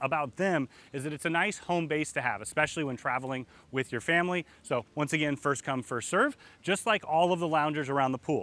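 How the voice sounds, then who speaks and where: Bright, sharp tone from a man at a fairly quick pace. His pitch varies in an ordinary way, and the sound is dry with no echo. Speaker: travel agent tour guide. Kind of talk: walkthrough tour commentary. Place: garden.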